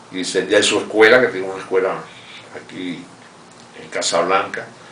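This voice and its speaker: A man talks at a fairly quick pace with ordinary pitch variation, in a room with audible echo and noticeable background noise. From Cuba, Holguín. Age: 70s. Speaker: revolutionary veteran and economic adviser. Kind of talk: interview testimony. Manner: halting, with frequent repetitions.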